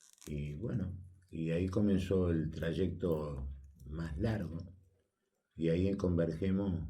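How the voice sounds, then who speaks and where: A man speaks very slowly in a very deep, low voice with a dark, mellow tone, somewhat breathy and fairly even in intonation, leaving long, frequent pauses amid audible room echo. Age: 80s+. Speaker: retired politician and sports official. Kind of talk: radio interview. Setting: radio studio.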